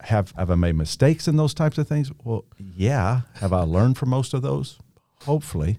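Somewhat breathy and dark, mellow in tone, a man speaks at a moderate pace and medium pitch with very wide pitch swings, in a dry, close sound with no echo. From Kentucky, US. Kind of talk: faith-based conversation.

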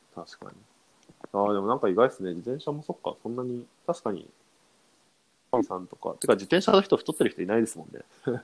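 Long, frequent pauses break up a man's fairly quick speech, which has a medium pitch, very wide pitch swings and big jumps in loudness. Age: young. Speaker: podcast co-host, management consultant. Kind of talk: casual chat.

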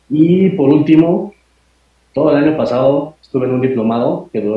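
Somewhat breathy, a man's voice proceeds at a moderate pace. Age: 30s. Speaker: UFO researcher and lawyer. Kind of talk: interview.

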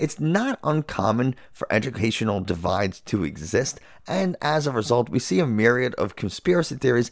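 On a very clean recording with a silent background, a man at medium pitch uses vocal fry and very wide pitch swings while speaking at a moderate pace. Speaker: neuroscientist, podcast co-host. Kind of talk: casual chat. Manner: loud.

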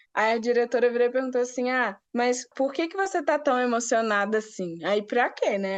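An unremarkable speaking voice belongs to a woman, moving at a moderate pace with ordinary pitch variation. The background is quiet. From Brazil, Rio de Janeiro, grew up moving (Natal, Brasília). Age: 20s. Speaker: business analyst, recent graduate. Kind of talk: casual interview.

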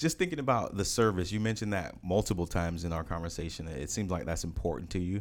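A man with an American accent talks at a very fast pace, barely pausing. His lively intonation carries vocal fry. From United States. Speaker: podcast host. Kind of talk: casual interview.

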